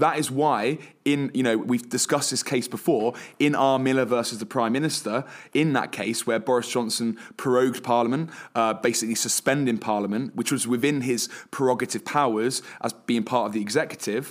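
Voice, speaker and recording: Male voice at medium pitch with fairly even intonation on a very clean recording with a silent background. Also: fairly quick pace. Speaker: podcast co-host. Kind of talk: casual podcast discussion. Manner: jokey, hesitant with filler words.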